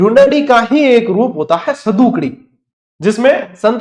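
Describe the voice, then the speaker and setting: A man speaks with a Rajasthani accent. His pitch swings very widely. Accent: Rajasthani Hindi, Marwari with Godwari touch. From Rajasthan, Marwar (Godwar area). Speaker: online exam-prep teacher. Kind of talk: online lecture. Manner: conversational, repetitive drilling.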